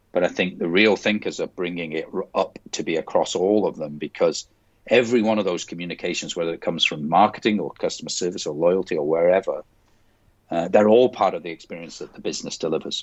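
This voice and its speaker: This man speaks with a strong British accent. His pace is very fast. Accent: strong UK. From Scotland. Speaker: company president. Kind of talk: podcast interview.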